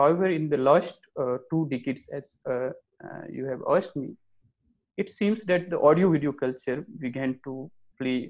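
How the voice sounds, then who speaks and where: At a moderate pace, a man with a fairly high pitch speaks with an Indian accent and ordinary pitch variation. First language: Maithili. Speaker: author and academic. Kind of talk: interview. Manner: halting.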